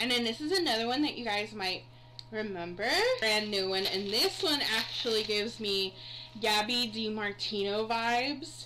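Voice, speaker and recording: A woman speaks at a moderate pace in a fairly high voice with ordinary pitch variation. Her loudness stays very even over noticeable background noise. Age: 30s. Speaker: YouTuber. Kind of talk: unboxing video. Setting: recording at night. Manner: casual, chatty. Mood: warm, sentimental. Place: home room. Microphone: webcam.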